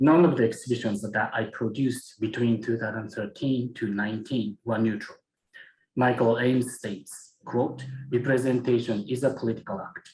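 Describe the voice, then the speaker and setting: Slightly breathy, a man with a Japanese accent talks at a moderate pace in a medium pitch, his intonation fairly even. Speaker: museum curator and researcher. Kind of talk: conference presentation. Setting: academic symposium. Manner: formal.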